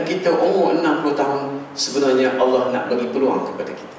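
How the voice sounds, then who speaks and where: With a fairly high pitch, a man speaks at a fairly quick pace amid light background noise and strong room echo. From Malaysia. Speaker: religious preacher. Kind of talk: sermon. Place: church.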